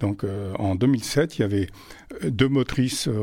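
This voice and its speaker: This man speaks at a fairly slow pace with medium pitch and ordinary pitch variation. The recording is very clean, with a silent background. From France, Auvergne (Vichy). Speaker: retired railway traction chief. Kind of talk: interview testimony. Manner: halting, repeats words.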